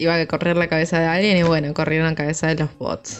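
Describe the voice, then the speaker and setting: A woman with a fairly low pitch speaks over music in the background. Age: 20s. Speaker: podcast co-host. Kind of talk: casual chat.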